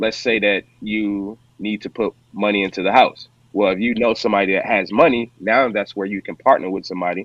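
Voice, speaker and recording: A man with an American accent, an ordinary speaking voice, fairly low in pitch, at a fairly quick pace. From US Midwest, St. Louis, Missouri. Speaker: real estate investor. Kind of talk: podcast interview.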